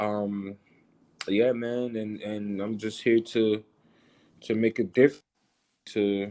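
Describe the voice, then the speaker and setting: A man speaks very slowly in a dark, mellow, fairly low voice, flat and monotone, with long, frequent pauses over a quiet background. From North Miami, Florida (born in Haiti). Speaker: rap artist. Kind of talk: casual podcast interview. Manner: hesitant, many fillers and repeats.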